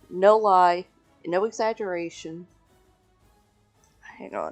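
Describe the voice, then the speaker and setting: Music can be heard behind the voice. The delivery is fairly slow. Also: woman. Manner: loud talker.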